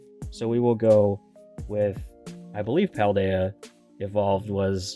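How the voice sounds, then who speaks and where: Music plays in the background as a man speaks. His pitch is fairly low and his pace fairly slow. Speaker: Pokemon card collector. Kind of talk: casual talk to camera.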